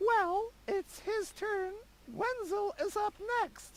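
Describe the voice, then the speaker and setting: With clear background noise behind it, a squeaky put-on character voice at an extremely high pitch crawls along at a very slow pace. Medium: video game. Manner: snippy, dismissive.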